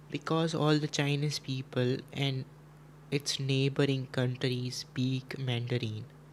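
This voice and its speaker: A man with a Gujarati accent speaks at a very slow pace in a medium pitch, his intonation monotone and flat. His voice is somewhat breathy, and his loudness stays very even. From India. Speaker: chess streamer. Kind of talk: casual live stream chat. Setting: live stream.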